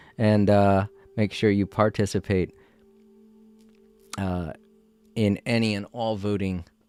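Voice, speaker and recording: With music in the background, a man talks at a fairly low pitch. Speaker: gaming livestreamer. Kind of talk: casual livestream sign-off. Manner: halting.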